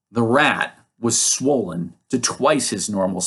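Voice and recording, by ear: Against a quiet background, the passage is read aloud in a natural voice and the intonation is lively.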